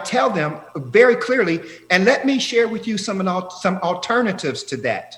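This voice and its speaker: Pitched high, a man talks at a moderate pace with lively intonation and hardly any pauses. Audible room echo surrounds his voice. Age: 60s. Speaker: professor. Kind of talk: interview. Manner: animated.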